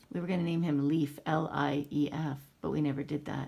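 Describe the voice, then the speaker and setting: A woman with a very deep, low pitch speaks with vocal fry. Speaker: parent filming her son. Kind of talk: casual family chat. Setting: home video recording. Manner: mumbling.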